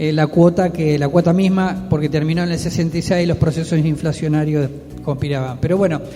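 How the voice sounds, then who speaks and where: With music in the background, a man talks at a fairly quick pace with fairly high pitch and fairly even intonation. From Argentina, Quilmes (Buenos Aires). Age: 60s. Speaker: neighborhood leader. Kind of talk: radio interview.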